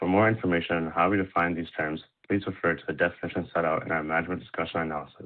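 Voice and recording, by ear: Very fast and low-pitched, a man talks with fairly even intonation.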